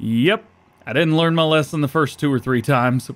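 A man's voice at a moderate pace. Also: very clean recording, silent background. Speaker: gaming YouTuber. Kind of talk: let's play commentary. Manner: casual, self-deprecating.

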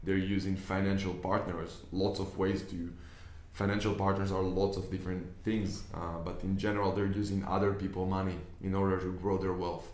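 A man with an Israeli accent speaks at a moderate pace in a very deep, low voice. His intonation is monotone and flat, and room echo is audible. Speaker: business investor and online trainer. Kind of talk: tutorial. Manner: casual, hesitant with fillers. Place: office. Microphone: camera far.

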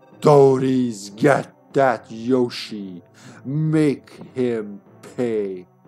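A man uses a put-on character voice with a menacing tone and a medium pitch. He speaks at a very slow pace over music in the background. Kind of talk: reading game dialogue aloud in a character voice. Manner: menacing, commanding.

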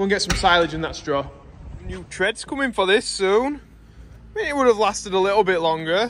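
Long, frequent pauses at a moderate pace over light background noise. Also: man, high pitch for a man. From England. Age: 20s. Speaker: farmer and vlogger; vlogger. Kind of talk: casual vlog narration. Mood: cheerful, relaxed. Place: farm. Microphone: phone near.

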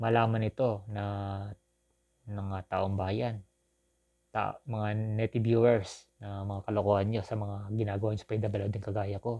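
Fairly slow, monotone and flat speech from a man with a fairly low pitch and a dark, mellow tone, broken by long, frequent pauses, over a quiet background. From Philippines, Southern Quezon. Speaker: vlogger. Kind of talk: personal appeal to viewers. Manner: halting, with repetitions.

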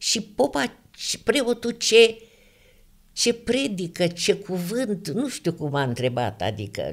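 In a very clean recording with a silent background, a woman with a medium pitch swings her pitch very widely and shows vocal fry. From Romania, Ialomița county. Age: 80s+. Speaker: religious testimony giver. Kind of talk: testimony.

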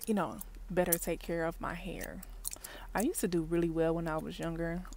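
On a dry recording with no echo and light background noise, a woman with a fairly low pitch and a dark, mellow tone speaks at a moderate pace. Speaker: vlogger. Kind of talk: casual vlog chat. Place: car. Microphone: earbuds.

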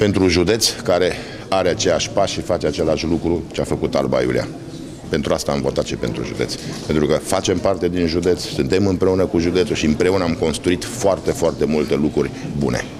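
Over noticeable background noise, a man speaks at a fairly quick pace with a very deep, low pitch. His loudness stays very even and his pitch varies in an ordinary way. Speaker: candidate. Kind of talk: interview answer. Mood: calm, earnest. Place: office. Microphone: handheld.

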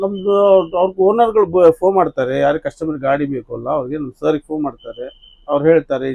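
In a plain, everyday voice, a man speaks with ordinary pitch variation. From Karnataka, Hubli. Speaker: tourist bus driver. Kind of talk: casual interview.

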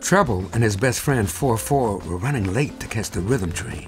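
Against music in the background, a man with a medium pitch talks at a moderate pace with lively intonation. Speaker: jazz pianist. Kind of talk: children's cartoon narration.

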